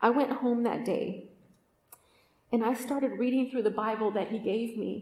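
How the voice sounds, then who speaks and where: A woman with a West Coast accent speaks in a dark, mellow tone at a fairly high pitch, with fairly even intonation and audible room echo. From Oakland, Northern California. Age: 40s. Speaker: podcast host and retreat speaker. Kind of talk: testimony talk at a women's retreat.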